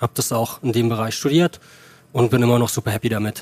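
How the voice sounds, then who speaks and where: Recorded with a dry, close sound and no echo, a man speaks in a plain, everyday voice with fairly even intonation. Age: 30s. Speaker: advertising creative on a podcast date. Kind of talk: casual chat.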